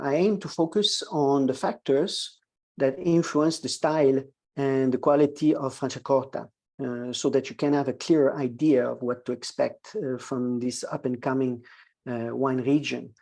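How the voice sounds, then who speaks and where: Here a man talks in a French accent. His pitch varies in an ordinary way. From Quebec, Montreal. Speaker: wine educator. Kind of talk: webinar lecture. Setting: live online webinar. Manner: halting, many fillers.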